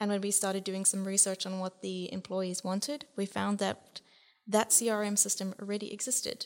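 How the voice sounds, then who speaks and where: A woman with a South African accent, medium pitch, moderate pace and monotone, flat intonation. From Southern Africa. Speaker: guest researcher. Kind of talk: podcast discussion.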